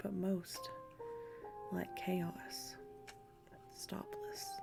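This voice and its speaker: Over music in the background, a soft-spoken voice talks at a very slow pace. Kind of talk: ASMR poetry reading. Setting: lo-fi background music.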